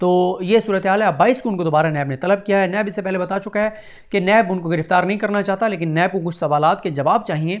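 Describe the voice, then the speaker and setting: This man talks at a moderate pace with a high pitch and ordinary pitch variation. The background is quiet. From Pakistan. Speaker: news commentator. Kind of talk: news commentary monologue. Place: home room. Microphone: lapel.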